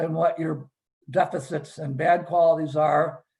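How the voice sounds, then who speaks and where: At a very slow pace, a man talks at a high pitch. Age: 60s. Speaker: trademark litigator. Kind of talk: panel discussion. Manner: halting, many repetitions and fillers.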